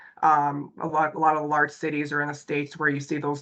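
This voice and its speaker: A woman speaks in a very deep, low voice with vocal fry and flat, monotone intonation. The background is quiet. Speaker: consultant presenting a company webinar. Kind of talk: webinar presentation. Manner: hesitant, many fillers.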